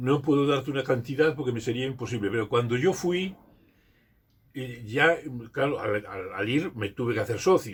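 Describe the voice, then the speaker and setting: At a moderate pace, a man speaks with lively intonation and a somewhat breathy voice. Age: 80s+. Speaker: retired school teacher and community leader. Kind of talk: interview. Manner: halting, with frequent repetitions.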